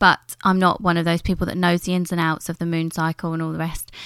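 Her British accent, fairly low pitch and monotone, flat intonation come through at a very fast pace as this woman speaks in a dry, close sound with no echo. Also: very clean recording, silent background. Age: 30s. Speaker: beauty business coach. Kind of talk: solo podcast monologue. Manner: casual, conversational.

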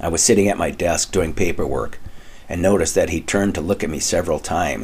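This is plain reading aloud. The delivery stays plain throughout.

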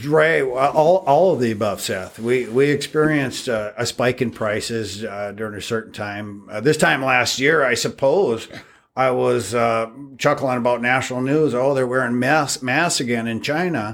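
With an Upper Midwest accent, a man speaks at medium pitch and a moderate pace with ordinary pitch variation, on a very clean recording with a silent background. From North Dakota, Devils Lake. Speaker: steakhouse owner. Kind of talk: interview. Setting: construction site.

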